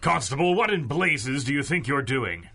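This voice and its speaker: A man bellows in a put-on character voice at medium pitch. His pitch swings very widely at a moderate pace. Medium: audio drama. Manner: bellowing, irritable.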